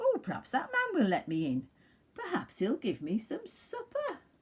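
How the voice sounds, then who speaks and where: At a moderate speed, the speaker puts on a character voice. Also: female-sounding voice, high pitch for a woman. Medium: read story.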